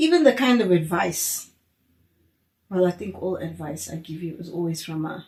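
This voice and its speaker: Her fairly low, somewhat breathy voice shows ordinary pitch variation and big swings in loudness, broken by long, frequent pauses. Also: moderate pace. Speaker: podcast host. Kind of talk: casual chat.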